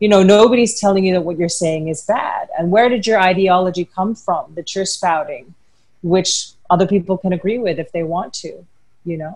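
A woman speaks in a somewhat breathy voice. The background is quiet. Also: ordinary pitch variation, moderate pace. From Philippines. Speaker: former showbiz personality and advocate; webinar panelist. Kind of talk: webinar panel discussion. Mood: earnest, emotional. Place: home room. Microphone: earbuds.

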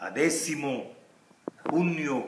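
A fairly high-pitched man at a very slow pace, with audible room echo. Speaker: poet. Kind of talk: poem performed, solemn reading aloud of a protest elegy. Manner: slow, grave, measured delivery with mournful pauses; insistent, incantatory repetition of the refrain question. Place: garden. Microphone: camera far.

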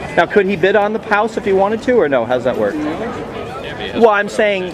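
High-pitched male voice with lively intonation and noticeable background noise. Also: moderate pace. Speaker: homeowner at a foreclosure auction. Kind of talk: casual conversation about a foreclosure auction. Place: street. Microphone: phone near.

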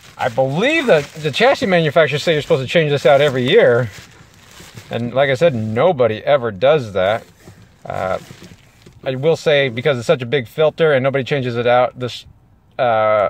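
A man at a fairly quick pace, ordinary pitch variation, dry sound with no echo. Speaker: RV maintenance vlogger. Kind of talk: casual tutorial. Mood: relaxed, friendly. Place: car. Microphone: phone near.

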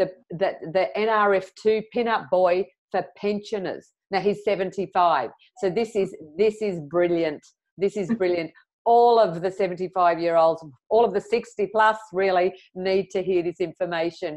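A woman talks with fairly even intonation over a quiet background. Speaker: interview host. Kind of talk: interview introduction. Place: home room. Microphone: earbuds.

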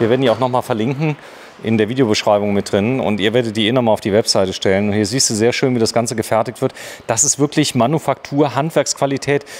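At a very fast pace, a man talks with very even loudness and ordinary pitch variation. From Saarland, Germany. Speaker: video host visiting a factory. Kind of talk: guided factory tour chat. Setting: workshop hall. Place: factory. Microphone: phone near.

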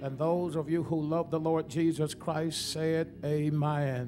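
A man speaks fairly slowly while clear music plays behind him. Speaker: preacher, pastor. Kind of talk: Baptist sermon. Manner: prayerful then preaching, engaging the congregation. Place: church. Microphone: podium.

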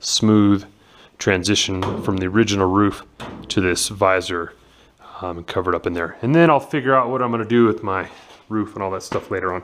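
With a normal speaking voice, a man talks at a fairly quick pace in a fairly low pitch with ordinary pitch variation over light background noise. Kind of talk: tutorial. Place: garage. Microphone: phone near.

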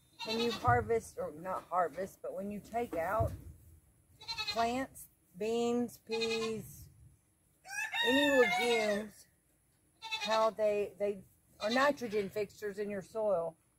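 Over noticeable background noise in a dry space with no echo, a woman speaks at a very slow pace with long, frequent pauses. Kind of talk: casual gardening tutorial. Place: garden.

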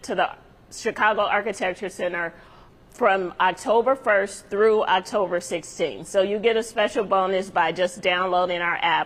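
A woman's moderate-paced speech with fairly even intonation. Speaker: guest. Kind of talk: interview answer. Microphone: lapel.

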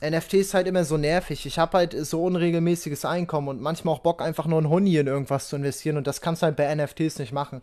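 A man talks at a very fast pace with hardly any pauses, his intonation fairly even against a quiet background. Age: 20s. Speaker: crypto content creator and student; crypto content creator. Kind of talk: casual livestream chat. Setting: livestream. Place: home room. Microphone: studio mic.

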